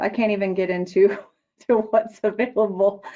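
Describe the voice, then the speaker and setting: A woman speaks fairly slowly in a dark, mellow tone. Her intonation stays fairly even. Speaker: product manager presenting a product; presenter. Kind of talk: webinar presentation; answering audience questions. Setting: online webinar. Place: office. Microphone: webcam.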